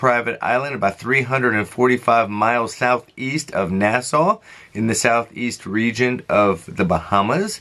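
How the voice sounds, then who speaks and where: Background noise is noticeable behind a man with a medium pitch. He speaks at a moderate pace. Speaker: travel vlogger. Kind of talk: casual news commentary. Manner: conversational with fillers.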